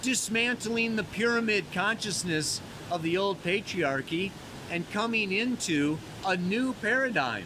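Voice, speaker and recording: Noticeable background noise behind a man's raised, projected voice, fairly slow in pace, with ordinary pitch variation. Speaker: astrologer. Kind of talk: weekly astrology forecast. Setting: outdoors by a mountain waterfall. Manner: casual, laid-back; loud, yelling over water.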